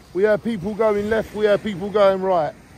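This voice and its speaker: At a fairly quick pace, a man with a high pitch speaks over light background noise in dry sound with no echo. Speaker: local vlogger. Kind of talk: casual vlog chat. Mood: upbeat, positive. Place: beach. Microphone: phone near.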